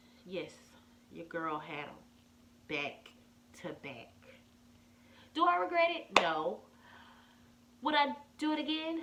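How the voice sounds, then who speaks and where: A woman speaks at a very slow pace, her pitch swinging very widely. Noticeable background noise runs underneath. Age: 30s. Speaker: vlogger. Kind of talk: casual talk to camera.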